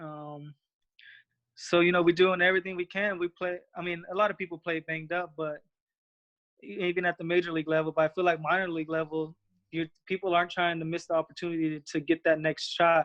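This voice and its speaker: A man speaks in a high pitch at a fairly quick pace. His intonation is monotone and flat. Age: 20s. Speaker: former minor league baseball player. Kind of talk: interview. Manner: halting.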